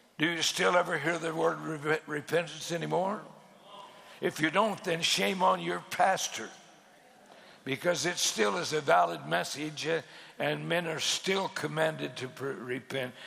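A man's fairly high-pitched, animated voice at a moderate pace, with lively intonation and noticeable background noise. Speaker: pastor. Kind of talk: sermon. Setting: church conference stage with audience. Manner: animated, fervent pulpit delivery with emphatic repetition and pauses.

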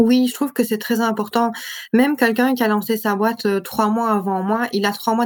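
A woman's fairly high voice in a flat monotone at a moderate pace. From Belgium, Liège area. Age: 20s. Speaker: entrepreneur. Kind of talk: interview.

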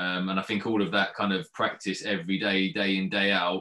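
Fairly quick and monotone, a man talks in a fairly low voice with a bright, sharp tone and flat intonation. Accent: southern English. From England, Watford. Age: 30s. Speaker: professional footballer. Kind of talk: interview. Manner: halting.

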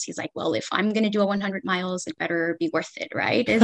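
A woman speaks in an ordinary speaking voice. Her pitch sits in the medium range, with ordinary variation. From US West Coast (Los Angeles, California). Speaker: ultramarathon runner. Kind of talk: interview.

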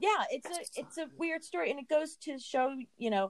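A woman with an American accent has an unremarkable speaking voice and lively intonation. She talks at a moderate pace, and the sound is dry and close with no echo. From US. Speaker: college counselor. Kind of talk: interview.

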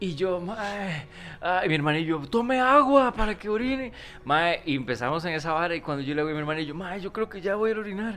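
A man talks very fast with a Costa Rican accent and lively intonation. His pitch is high, and there is noticeable background noise. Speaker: comedy podcast host. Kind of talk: casual chat.

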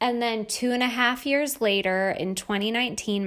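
A woman's fairly high voice with ordinary pitch variation and a Northeastern US accent. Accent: American (Northeast). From New York State. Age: 30s. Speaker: life coach and podcast host. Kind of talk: casual monologue.

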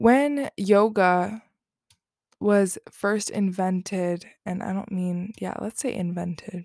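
Very slow speech with ordinary pitch variation comes through in a dry, close sound with no echo and a very clean, silent background. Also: woman. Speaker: spiritual podcast host. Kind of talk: solo spiritual talk.

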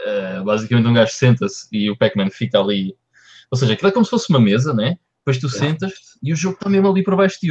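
At medium pitch, a man talks at a very fast pace with very wide pitch swings. His voice is somewhat breathy. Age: 30s. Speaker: podcast co-host. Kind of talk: casual chat. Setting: live-streamed podcast recording.

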